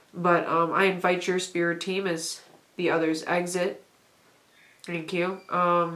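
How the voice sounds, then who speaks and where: In audible room echo, a woman with a fairly low pitch speaks at a fairly slow pace in a monotone, flat intonation, leaving long, frequent pauses. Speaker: tarot reader. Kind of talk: pick-a-card tarot reading. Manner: casual, hesitant with fillers.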